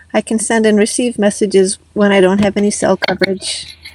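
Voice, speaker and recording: A woman with an unremarkable speaking voice talks fairly quickly at medium pitch with fairly even intonation, in a dry, close sound with no echo. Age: 60s. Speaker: van life vlogger. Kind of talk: scripted narration. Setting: in a camper van.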